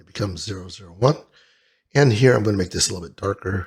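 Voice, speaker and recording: Very fast and somewhat breathy, a man speaks at a fairly low pitch with ordinary pitch variation in a very clean recording with a silent background. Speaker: 3D modeling tutorial instructor. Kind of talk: software tutorial screen-recording narration. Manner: casual, conversational.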